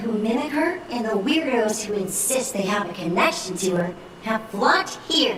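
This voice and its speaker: A female-sounding put-on character voice comes across in an amused tone. Clear echo and clear background noise are present. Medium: video game. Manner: polite, slyly amused.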